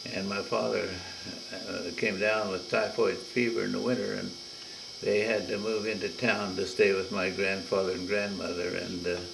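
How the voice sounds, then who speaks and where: With an American accent, a man speaks at a moderate pace amid audible room echo and noticeable background noise. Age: 90s. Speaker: family elder. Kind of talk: oral history recording. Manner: halting.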